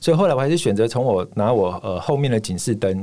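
Speaking very fast at a fairly low pitch, a man shows ordinary pitch variation as noticeable background noise plays underneath. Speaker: ultramarathon runner. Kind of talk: casual interview.

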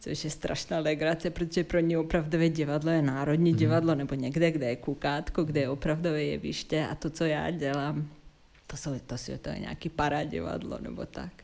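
A woman's very deep, low voice with vocal fry, a dark, mellow tone and monotone, flat intonation. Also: fairly quick pace. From Yugoslavia (Serbia). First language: Serbian (speaking Czech). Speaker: theatre dramaturg and curator. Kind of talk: interview. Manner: hesitant.

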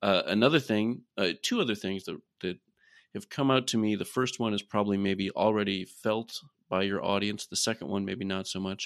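A man with an American accent speaks at a moderate pace in an unremarkable speaking voice, fairly low in pitch with fairly even intonation. The sound is dry and close with no echo, over a quiet background. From US Midwest, Iowa. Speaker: research scientist. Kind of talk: interview.

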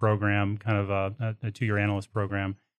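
A man with an American accent talks at a fairly quick pace in a plain, everyday voice, fairly low in pitch, with a dry, close sound with no echo and a quiet background. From Texas. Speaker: oilfield services executive. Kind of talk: interview. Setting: studio.

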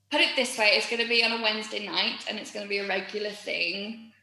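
A woman with a Yorkshire accent, in audible room echo. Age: 30s. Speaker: musical theatre performer. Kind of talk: casual chat.

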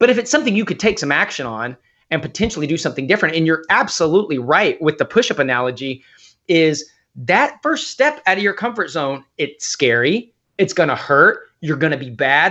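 A man speaks at a fairly quick pace in an unremarkable speaking voice, his pitch fairly high and his intonation lively. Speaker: fitness and business coach. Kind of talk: casual chat.

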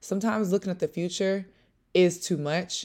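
Recorded very cleanly against a silent background, a woman speaks in an animated tone. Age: 20s. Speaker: podcast host. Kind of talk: casual chat mixed with sermon-style teaching.

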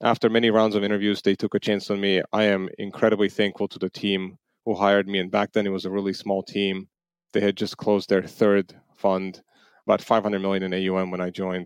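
Against a quiet background, a man with an Armenian accent speaks fairly quickly in a fairly low, flat monotone, with a dry, close sound and no echo. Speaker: venture capital limited partner. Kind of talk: interview.

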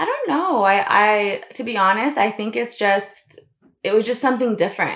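The speaker has an ordinary speaking voice with an American accent. Pace is moderate and pitch variation ordinary. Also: woman, fairly high pitch for a woman. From Florida, US. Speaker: designer. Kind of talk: casual chat.

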